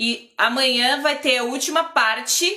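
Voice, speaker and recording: A woman speaks here. Her tone is bright and sharp. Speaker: drawing and lettering teacher. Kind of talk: live online class.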